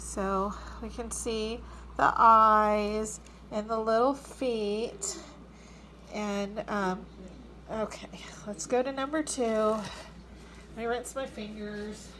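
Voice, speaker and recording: With audible room echo, a woman speaks in a bright, sharp tone at a fairly high pitch. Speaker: backyard chicken keeper. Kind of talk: casual video demonstration. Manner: animated, exclaiming.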